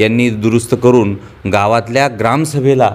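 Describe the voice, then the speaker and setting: The man's pitch moves up and down by an ordinary amount as he talks. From Marathwada, Hingoli district, Maharashtra; Maharashtra. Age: young. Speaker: village council activist. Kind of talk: interview. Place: home room. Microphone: lapel.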